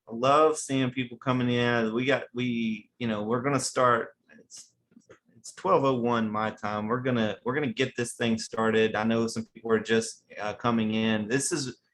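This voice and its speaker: With an American accent, a man talks at a moderate pace and medium pitch. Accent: country hillbilly. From West Virginia. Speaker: webinar host. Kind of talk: webinar presentation. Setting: online webinar. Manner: animated.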